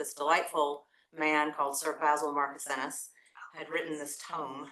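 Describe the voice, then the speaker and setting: The tone is bright and sharp, with an East Tennessee accent. It moves at a moderate pace. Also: woman. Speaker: lawyer, former law review editor, panelist. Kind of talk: panel talk, personal recollection.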